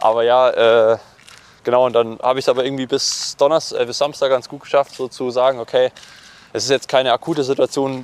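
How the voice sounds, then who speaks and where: Amid noticeable background noise, a man speaks at a fairly quick pace in a flat monotone of medium pitch, the sound dry and close with no echo. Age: 20s. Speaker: professional triathlete. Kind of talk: interview conversation. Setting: outdoors, walking. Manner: hesitant, many fillers.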